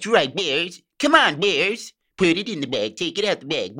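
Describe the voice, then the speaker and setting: Someone uses a put-on character voice at a middle pitch. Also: moderate pace. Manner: cheerful, folksy, cartoonish.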